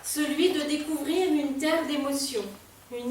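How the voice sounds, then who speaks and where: Over noticeable background noise and audible room echo, a woman speaks in a high voice with fairly even intonation. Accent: Réunion. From Réunion. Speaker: poet and association president. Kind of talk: event welcome speech. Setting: library event with live audience.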